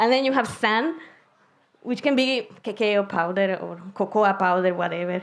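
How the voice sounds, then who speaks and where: A woman of medium pitch keeps a moderate pace, and her pitch shifts in an ordinary way. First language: Spanish. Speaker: concrete researcher. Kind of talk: science slam talk. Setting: stage with audience. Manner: casual, animated.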